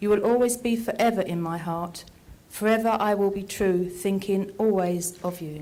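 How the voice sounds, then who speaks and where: A woman talks at a moderate pace with a medium pitch and fairly even intonation. Audible room echo surrounds her voice. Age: 70s. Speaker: poetry reader. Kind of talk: reading aloud own poems.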